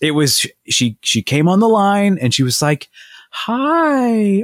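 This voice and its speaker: This man's pitch swings very widely, and the sound is dry and close with no echo. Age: 30s. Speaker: podcast co-host, father. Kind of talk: casual chat. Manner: high-energy.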